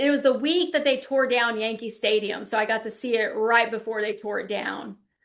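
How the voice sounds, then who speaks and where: A woman with a Southern US accent talks very fast in a fairly high voice. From US South, South Carolina. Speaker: lecturer, former lawyer. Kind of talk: online lecture, casual wrap-up chat. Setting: video call class, working from home. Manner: chatty, animated.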